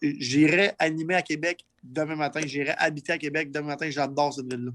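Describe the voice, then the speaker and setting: A man's fairly high voice, monotone and flat in intonation, at a fairly quick pace. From Quebec. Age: 30s. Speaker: entrepreneur. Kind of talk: interview. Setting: livestream podcast.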